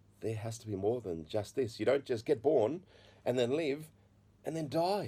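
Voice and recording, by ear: At a moderate pace, a man speaks with a dark, mellow tone, medium pitch and ordinary pitch variation.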